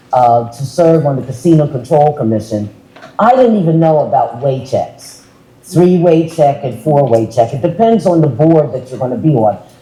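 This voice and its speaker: With a very deep, low pitch and lively intonation, a woman speaks at a moderate pace over noticeable background noise. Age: 70s. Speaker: panelist, former state commissioner. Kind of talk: panel discussion.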